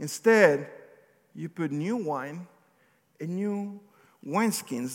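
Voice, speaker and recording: Speaking with a non-native accent, a man uses a fairly high pitch and ordinary pitch variation. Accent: non-native accent, remarked on by himself. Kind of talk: sermon. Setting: church with congregation. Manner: conversational, occasionally halting.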